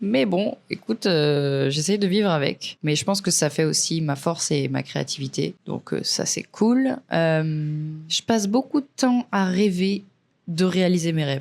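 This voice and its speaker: With lively intonation, a woman speaks slowly-ish at a fairly low pitch. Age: 20s. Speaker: podcast host, freelance videographer. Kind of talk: casual solo podcast monologue. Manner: casual, hesitant with filler words.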